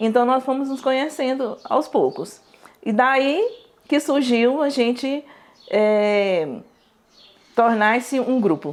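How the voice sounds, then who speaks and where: A woman talks very slowly with long, frequent pauses. Her high voice has lively intonation. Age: 60s. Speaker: community activist. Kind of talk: testimony.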